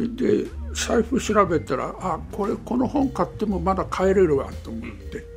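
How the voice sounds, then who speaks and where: Music plays behind a man who speaks at a fairly slow pace. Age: 80s+. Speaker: pastor. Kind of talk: interview answer.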